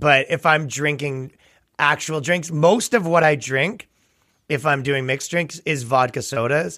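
With a Canadian accent, a man talks with ordinary pitch variation. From Canada. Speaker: comedian. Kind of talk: casual chat. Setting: video call.

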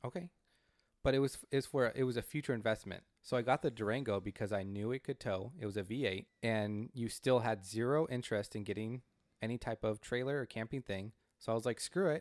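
In a very clean recording with a silent background and a dry, close sound with no echo, a man with an American accent uses a normal speaking voice at medium pitch, ordinary pitch variation and a fairly quick pace. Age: 30s. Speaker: podcast co-host. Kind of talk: casual chat.

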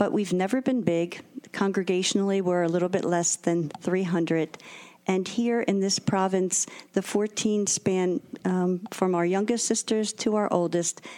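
Woman with an American accent, a dark, mellow tone, fairly even intonation, very even loudness, and a fairly slow pace. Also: medium pitch for a woman. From Philadelphia. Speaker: religious sister. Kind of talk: radio interview. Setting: recorded from home.

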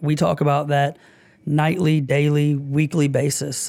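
A man with an unremarkable speaking voice, fairly high in pitch, fairly slow and fairly even in intonation, on a very clean recording with a silent background. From US South, Augusta, Georgia. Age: 30s. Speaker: bar owner. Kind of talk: casual interview. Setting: studio.

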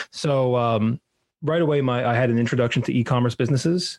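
Medium in pitch with fairly even intonation, an ordinary speaking voice comes from this man. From New York. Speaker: marketing agency president. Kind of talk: casual chat.

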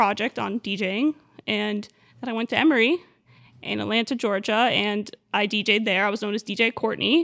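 A woman speaks fairly quickly in an American accent, her fairly high voice showing vocal fry and ordinary pitch variation. The recording is very clean, with a silent background. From Miami, US. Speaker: children's DJ and entertainer. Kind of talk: casual chat. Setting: studio.

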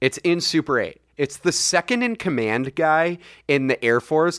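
A man's ordinary speaking voice in an American accent, fairly high in pitch and fairly slow, with lively intonation, on a very clean recording with a silent background and a dry, close sound with no echo. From US, Saratoga area. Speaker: podcast co-host. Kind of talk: casual chat.

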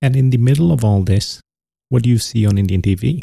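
The sound is dry and close with no echo as a man speaks at a moderate pace. His voice is somewhat breathy, with a dark, mellow tone and ordinary pitch variation. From India, Punjab (village). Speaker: podcast host, entrepreneur. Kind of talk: solo podcast monologue.

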